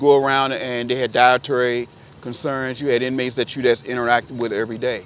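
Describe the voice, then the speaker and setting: A man talks very fast with an American accent. His medium-pitched voice stays monotone and flat. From Virginia (Richmond). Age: 60s. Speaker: photographer. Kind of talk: casual chat.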